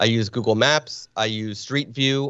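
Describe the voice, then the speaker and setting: This man has a plain, everyday voice at medium pitch, with an American accent. He speaks at a moderate pace with fairly even intonation. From northern New Jersey, Springfield. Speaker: photographer. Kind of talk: casual interview.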